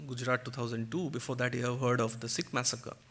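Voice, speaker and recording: A man speaks with a Bengali accent. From India, Kolkata (West Bengal). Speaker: author and guest speaker. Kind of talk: public talk. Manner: animated.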